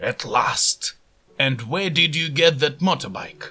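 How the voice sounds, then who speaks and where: A put-on character voice at a fairly slow pace. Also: man, fairly high pitch for a man. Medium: read story.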